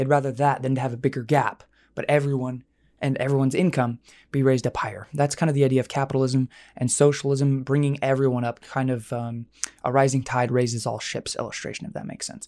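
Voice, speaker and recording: On a very clean recording with a silent background, a man speaks very fast at medium pitch with fairly even intonation. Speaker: political podcast host. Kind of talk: casual commentary monologue. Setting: studio microphone, also on video.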